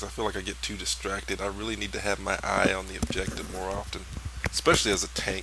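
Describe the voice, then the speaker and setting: A man's relaxed, fairly quick speech with very wide pitch swings, plus audible room echo and noticeable background noise. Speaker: gaming commentator. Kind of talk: gameplay commentary. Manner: casual relaxed; fast.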